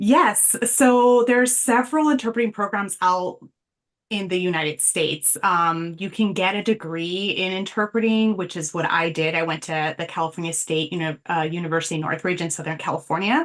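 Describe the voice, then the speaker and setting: A woman speaks with a Spanish accent at a moderate pace. Her pitch is medium and her intonation is lively. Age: young. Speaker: sign language interpreter. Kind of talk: interview.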